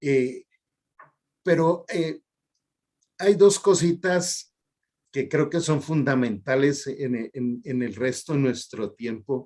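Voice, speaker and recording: A dark, mellow voice speaks at a very slow pace with long, frequent pauses and lively intonation. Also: man, fairly high pitch for a man. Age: 60s. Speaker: health program host, doctor. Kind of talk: interview.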